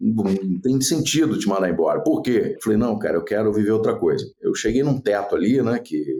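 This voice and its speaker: A man speaks with a dark, mellow tone and vocal fry. His pitch swings very widely. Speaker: radio executive and former radio host. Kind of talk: podcast interview.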